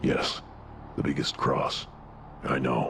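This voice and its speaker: A cartoonish character voice. Clear background noise runs underneath. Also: man. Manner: terse, clipped.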